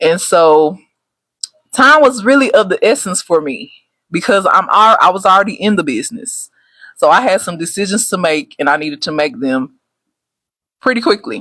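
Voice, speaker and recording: A woman speaks loudly in a Texas accent, with a bright, sharp tone. Her pitch swings very widely, broken by long, frequent pauses. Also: medium pitch for a woman, moderate pace. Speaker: travel agent. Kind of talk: casual live stream talk. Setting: livestream. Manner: loud, excited.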